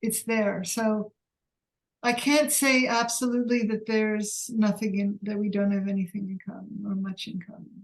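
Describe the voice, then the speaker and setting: Somewhat breathy, a woman speaks at a moderate pace with fairly even intonation and big swings in loudness. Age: 60s. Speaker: workshop participant. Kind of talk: self-inquiry dialogue. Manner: halting.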